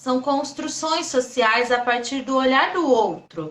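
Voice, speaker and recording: A woman speaks. Her voice sits high in pitch. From interior of São Paulo state, Brazil. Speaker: state legislator and activist. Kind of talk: interview on a live stream. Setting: online live stream. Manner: calm, soft-spoken.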